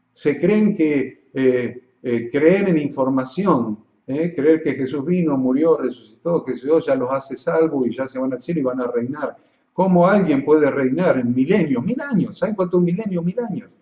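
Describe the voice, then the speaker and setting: Here a man speaks in a fairly high voice with lively intonation. His pace is moderate. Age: 60s. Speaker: pastor. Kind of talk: teaching for pastors. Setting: live broadcast. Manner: hesitant fillers.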